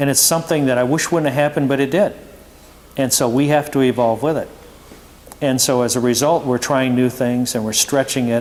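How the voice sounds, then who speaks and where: Noticeable background noise accompanies a man who talks at a fairly quick pace with a medium pitch and fairly even intonation. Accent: American. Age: 60s. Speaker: performance car company owner. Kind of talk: Q&A presentation to students. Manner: conversational, many fillers.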